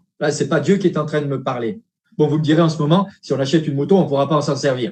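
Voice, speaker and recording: A somewhat breathy, fairly high-pitched man at a very fast pace, with big swings in loudness. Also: ordinary pitch variation. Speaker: preacher. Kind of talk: sermon. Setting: livestream church service. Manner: animated.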